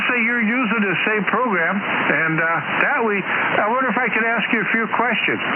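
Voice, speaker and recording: A man with a high voice talks at a moderate pace with ordinary pitch variation. Audible room echo and noticeable background noise fill the recording. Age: 70s. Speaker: ham radio operator. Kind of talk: ham radio contact on air.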